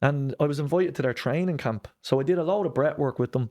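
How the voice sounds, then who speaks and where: A man with a Dublin accent speaks at a fairly quick pace in a dark, mellow tone with ordinary pitch variation, over a quiet background. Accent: Dublin Irish. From Ireland, Dublin (Lucan). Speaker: breath work and mindset coach. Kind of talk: podcast interview.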